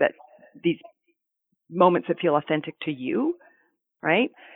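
A woman with a Canadian accent speaks in a fairly low pitch. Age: 40s. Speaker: therapist and former NICU family support specialist. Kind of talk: interview conversation.

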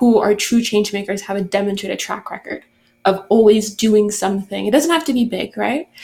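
With a normal speaking voice, a woman talks at a fairly high pitch and a moderate pace, her pitch varying in an ordinary way. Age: young. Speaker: podcast host. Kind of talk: interview.

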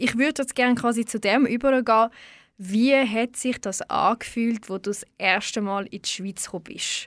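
On a very clean recording with a silent background and a dry, close sound with no echo, a woman in an ordinary speaking voice talks at a moderate pace, her pitch fairly high with ordinary variation. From Switzerland, Baden region. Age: 20s. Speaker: radio host. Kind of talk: poetry slam; interview. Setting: radio studio.

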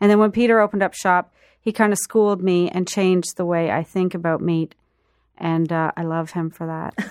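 A woman talks at a fairly quick pace in a normal speaking voice, fairly low in pitch with fairly even intonation. The recording is very clean and dry, close with no echo and a silent background. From Prince Edward Island, Canada. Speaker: food writer and event host. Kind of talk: radio interview. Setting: radio studio.

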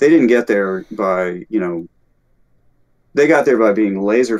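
This man has an ordinary speaking voice with an American accent and a fairly low pitch. He talks at a moderate pace with lively intonation. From US South, Alabama. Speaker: composer and music teacher. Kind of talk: casual chat.

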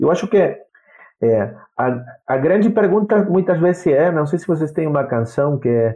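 This man has a Spanish accent and a lively intonation. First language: Spanish (speaking Portuguese). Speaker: university professor of international relations. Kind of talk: interview. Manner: halting, many repetitions.

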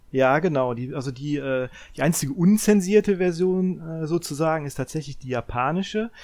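A man's fairly high voice at a moderate pace, with ordinary pitch variation, on a very clean recording with a silent background. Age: 40s. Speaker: video game podcast panelist. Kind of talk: casual chat. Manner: halting, many fillers and repetitions.

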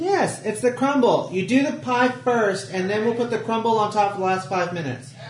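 Against noticeable background noise, a man talks at a moderate pace with hardly any pauses and very wide swings in pitch. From Texas. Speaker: tabletop game player. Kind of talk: casual chat during a tabletop roleplaying game.

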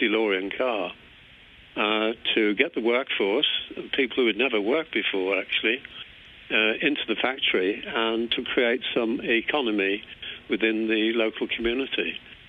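Speaking at a moderate pace, a man with a medium pitch keeps his intonation fairly even and his loudness very even. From England. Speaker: former car company employee. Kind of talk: casual interview. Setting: phone call.

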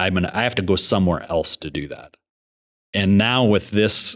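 A man's plain, everyday voice, fairly low in pitch, at a moderate pace with fairly even intonation, dry and close with no echo, on a very clean recording with a silent background. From Montana, Billings. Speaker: engineering firm executive. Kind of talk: interview.

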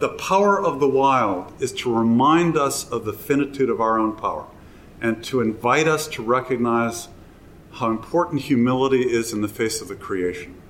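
This is a plain, everyday voice. A man speaks at medium pitch with ordinary pitch variation. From US Midwest, Wisconsin. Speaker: environmental historian. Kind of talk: live interview before audience. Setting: hotel event with live audience.

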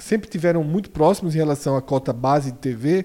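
A man speaks with a dark, mellow tone and fairly high pitch. The recording is very clean, with a silent background. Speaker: football pundit. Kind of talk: casual debate.

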